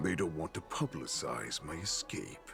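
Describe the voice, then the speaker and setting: A man puts on a character voice over clear background noise. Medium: video game. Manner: menacing, gloating.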